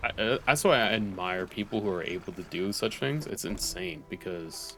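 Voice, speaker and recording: This is a man with an ordinary speaking voice. He talks at a moderate pace with lively intonation. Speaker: gaming streamer. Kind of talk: casual gaming stream chat.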